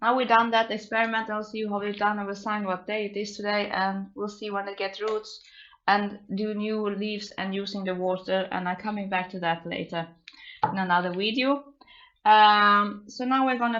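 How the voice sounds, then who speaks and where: A woman's medium-pitched voice, monotone and flat in intonation, at a moderate pace. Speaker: plant hobbyist youtuber. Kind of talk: tutorial. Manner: loud; halting.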